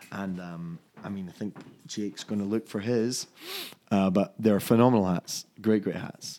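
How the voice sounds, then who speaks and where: In a Scottish accent, a man with a fairly low pitch and a dark, mellow tone speaks at a moderate pace with fairly even intonation. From Scotland, Fife (Dunfermline). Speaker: whisky brand ambassador. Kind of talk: casual chat.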